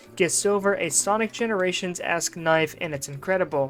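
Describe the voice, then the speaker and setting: A woman at a medium pitch, very fast and with lively intonation, over music in the background. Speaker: game reviewer. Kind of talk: video game review narration.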